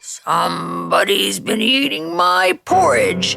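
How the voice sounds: Very slowly, someone delivers a put-on character voice that is raspy and gruff. Faint music plays in the background.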